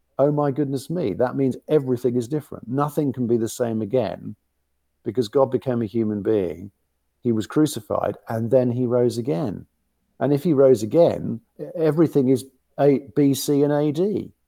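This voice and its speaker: In a very clean recording with a silent background, a man with a London accent talks at medium pitch in a dark, mellow tone with ordinary pitch variation. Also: moderate pace. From West London. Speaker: bishop. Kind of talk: interview.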